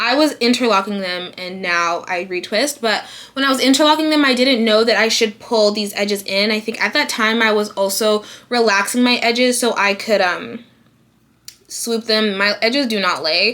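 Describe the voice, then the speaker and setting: A woman's fairly high, bright and sharp voice, animated in tone, with ordinary pitch variation at a moderate pace. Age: 20s. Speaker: beauty vlogger. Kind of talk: casual vlog talk.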